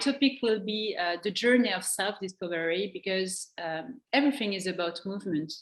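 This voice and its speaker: A woman at medium pitch and a moderate pace. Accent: French. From France. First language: French. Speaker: coaching trainer and former dancer. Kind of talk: interview. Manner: halting.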